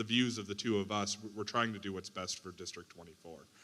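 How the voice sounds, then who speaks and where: The voice has a bright, sharp tone and moves at a fairly quick pace with fairly even intonation. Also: man. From Wisconsin, Brown County. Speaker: teacher and political candidate. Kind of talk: candidate forum statement.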